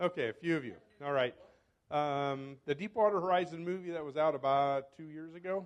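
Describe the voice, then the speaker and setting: With a plain, everyday voice, a man speaks fairly quickly at a fairly high pitch, showing ordinary pitch variation and big swings in loudness. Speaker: professor and environmental toxicologist. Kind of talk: club talk. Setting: club meeting with microphone.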